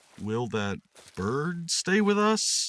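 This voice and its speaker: A man puts on a high-pitched character voice with very wide pitch swings. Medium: read story.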